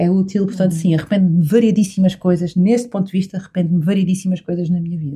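Very fast speech from a woman at medium pitch, somewhat breathy, with a dark, mellow tone. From Azores, São Miguel. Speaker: entrepreneur and retreat organizer. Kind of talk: casual interview.

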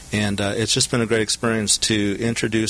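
A man with an American accent speaks at a moderate pace and a fairly low pitch. His intonation is monotone and flat, with noticeable background noise behind him. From Southern California. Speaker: HR executive. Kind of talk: interview. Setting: studio.

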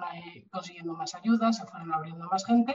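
This is a woman with an unremarkable speaking voice. She keeps a moderate pace and ordinary pitch variation. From Spain, Bilbao (Basque Country). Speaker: animal rescue association president. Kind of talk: interview conversation.

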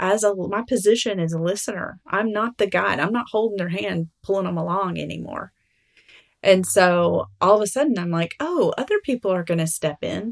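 This speaker talks at a moderate pace in a Southern US accent. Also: woman, medium pitch for a woman, ordinary pitch variation. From Alabama. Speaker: writer and mother. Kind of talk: interview.

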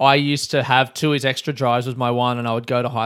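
An Australian-accented man speaks with fairly even intonation in a very clean recording with a silent background. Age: 30s. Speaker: podcast host and comedian. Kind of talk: podcast intro monologue; casual chat. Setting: outdoor courtyard.

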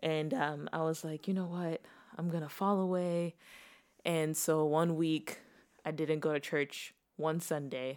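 Fairly even intonation comes through on a very clean recording with a silent background. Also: woman, very deep, low pitch for a woman, fairly slow pace. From Texas, born in Zimbabwe. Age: 20s. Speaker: newlywed wife. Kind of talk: casual chat.

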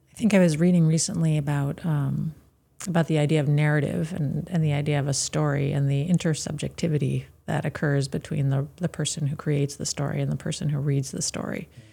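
A woman's very deep, low, dark, mellow voice, somewhat breathy, at a very fast pace with fairly even intonation. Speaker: radio host. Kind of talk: interview. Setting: studio.

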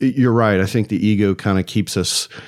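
On a very clean recording with a silent background, a man with an American accent speaks in a plain, everyday voice at a moderate pace and a fairly low pitch. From US South, Atlanta. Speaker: podcast host. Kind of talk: casual interview chat.

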